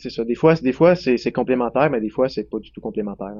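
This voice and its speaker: A man's voice, medium in pitch with ordinary variation, moves at a very fast rate. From Quebec, Centre-du-Québec near Drummondville. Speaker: dairy farmer. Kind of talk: casual interview.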